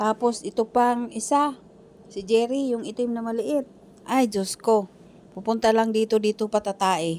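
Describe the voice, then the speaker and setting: This woman speaks at a fairly slow pace in a plain, everyday voice, her pitch fairly high and its variation ordinary. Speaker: domestic worker vlogger. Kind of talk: vlog voice-over.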